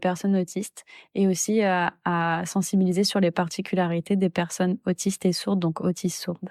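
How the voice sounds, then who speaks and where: Over a silent background in a very clean recording, a woman speaks at a moderate pace and medium pitch, her dark, mellow tone delivered in a flat monotone with a dry, close sound and no echo. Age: 20s. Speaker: sign language interpreter and doctoral researcher. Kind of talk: testimony. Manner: hesitant, many filler sounds.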